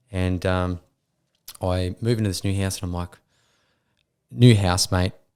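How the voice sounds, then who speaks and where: A very clean recording with a silent background and fairly quick talking. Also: man. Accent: Australian. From Queensland, Australia. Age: 30s. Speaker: former mining worker and business owner. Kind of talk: casual chat. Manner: animated.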